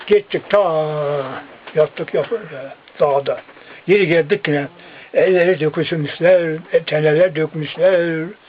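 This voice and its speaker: A high-pitched man at a very slow pace, with long, frequent pauses, fairly even intonation and noticeable background noise. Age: 80s+. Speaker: villager, eyewitness to wartime massacres. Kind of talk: interview answer.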